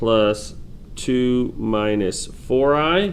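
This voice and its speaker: Speaking at a very slow pace, a man with a medium pitch uses lively intonation amid audible room echo. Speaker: math teacher. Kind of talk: tutorial.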